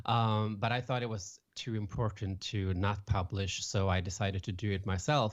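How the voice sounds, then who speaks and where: Speaking in a Swedish accent, a man with a fairly low pitch keeps a moderate pace, fairly even intonation and hardly any pauses against a quiet background. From Sweden, west coast near Gothenburg. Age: 30s. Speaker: author and public speaker. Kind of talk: podcast interview. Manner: halting.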